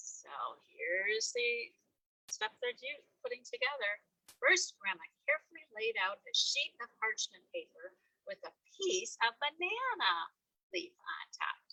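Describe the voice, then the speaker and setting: A woman speaks in a high pitch with a bright, sharp tone, her voice raised and projected, with very wide pitch swings and big swings in loudness. The sound is dry and close with no echo, and she leaves long, frequent pauses. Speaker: library story-hour reader, grandmother figure. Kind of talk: children's picture-book reading with asides to the audience. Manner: conversational, hesitant with filler words.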